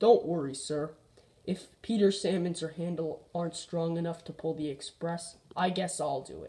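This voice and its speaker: Moderate pace and middle pitch in a put-on character voice. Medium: read story.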